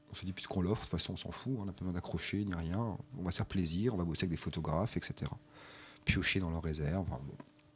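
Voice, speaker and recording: Talking at a very fast clip, a man with a very deep, low voice sounds somewhat breathy and uses ordinary pitch variation. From Alsace, France. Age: 40s. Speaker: regional culture magazine publisher. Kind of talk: radio interview.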